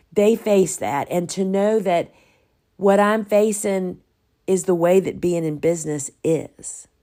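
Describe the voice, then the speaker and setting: Speaking very slowly with a Southern US accent, a woman uses a dark, mellow tone at medium pitch and fairly even intonation, recorded very cleanly against a silent background. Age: 60s. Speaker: podcast host and flower farmer. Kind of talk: solo podcast monologue.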